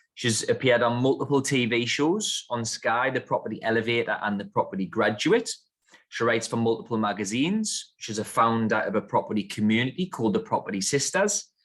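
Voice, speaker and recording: Speaking at a fairly quick pace, a man with a northern English accent uses lively intonation at a medium pitch. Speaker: podcast host. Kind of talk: interview podcast.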